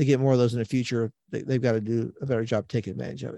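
A man speaks with a Midwestern American accent at a medium pitch in a dark, mellow tone. The sound is dry and close with no echo, over a quiet background. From central Illinois. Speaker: sports reporter. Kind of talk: casual interview.

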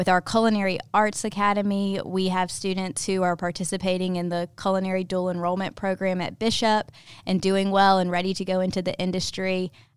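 Over a silent background in a very clean recording, a woman with a Southern US accent talks at a fairly quick pace with hardly any pauses, her medium-pitched voice monotone and flat. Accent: Southern American. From US South, Ocean Springs, Mississippi. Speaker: high school academy specialist, former teacher. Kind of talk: interview.

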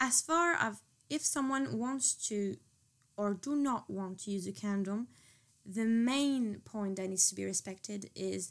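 In a very clean recording with a silent background, a woman with a French accent speaks at a fairly slow pace and fairly high pitch with lively intonation. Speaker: student. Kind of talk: casual chat.

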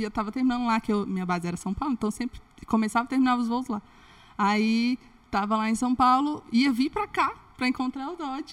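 Speaking at a very fast pace, a woman has a high-pitched voice. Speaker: former flight attendant turned comedy influencer. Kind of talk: casual chat.

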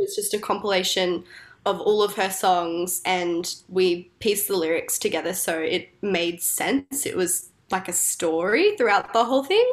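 This woman has an ordinary speaking voice, medium in pitch, with ordinary pitch variation and a moderate pace. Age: 20s. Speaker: singer-songwriter. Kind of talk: casual interview chat.

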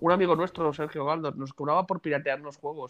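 Delivery runs at a very fast pace with fairly even intonation. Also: man. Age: 30s. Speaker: podcast co-host. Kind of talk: casual chat.

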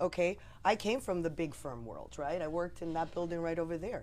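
Vocal fry marks this voice. It comes with an American accent. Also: woman. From New Jersey. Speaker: lawyer. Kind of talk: casual political discussion.

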